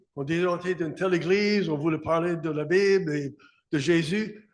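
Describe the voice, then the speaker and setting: A man speaks at a high pitch with an English accent. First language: English (speaking French). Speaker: pastor. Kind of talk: sermon.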